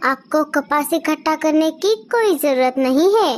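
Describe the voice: A woman's cartoonish character voice, high-pitched, with lively intonation and a moderate pace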